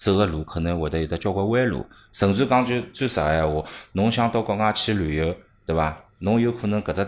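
On a very clean recording with a silent background, a man speaks. He has an unremarkable speaking voice with lively intonation. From Shanghai. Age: 30s. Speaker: marketing manager at study-abroad agency. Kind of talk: casual chat.

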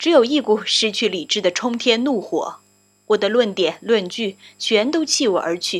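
The voice reads aloud naturally. Its intonation is lively.

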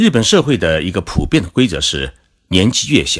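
A man's voice with vocal fry, at a moderate pace. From China. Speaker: podcast host, Japan commentator. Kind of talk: scripted narration.

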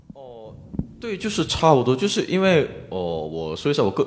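This is a man speaking. His pace is fairly quick. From South Korea, Busan. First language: Korean (speaking Chinese). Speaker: Korean student in China. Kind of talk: live panel discussion.

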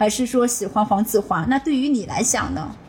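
Noticeable background noise sits behind a woman speaking at a fairly quick pace, with fairly high pitch and ordinary pitch variation. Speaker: podcast host and ICU doctor. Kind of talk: casual chat.

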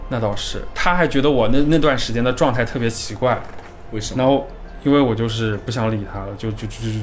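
A man at medium pitch with a slight Hunan accent and a very fast pace, amid noticeable background noise and audible room echo. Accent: slight Hunan-tinged Mandarin. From Jiangxi, China. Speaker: graduate student. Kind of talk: casual chat.

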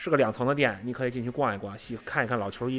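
A medium-pitched man at a very fast pace, with fairly even intonation. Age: middle-aged. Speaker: football writer. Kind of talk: casual chat.

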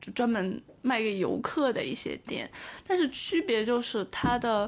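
On a very clean recording with a silent background, a woman talks at a moderate pace. Hers is an unremarkable speaking voice at a fairly high pitch. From China, Taiyuan, Shanxi. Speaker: overseas graduate student. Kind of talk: interview conversation.

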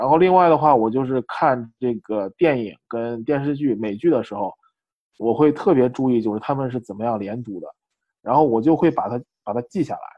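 An unremarkable speaking voice from a man, medium in pitch, at a fairly quick pace with ordinary pitch variation. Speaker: MBA student. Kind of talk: casual interview.

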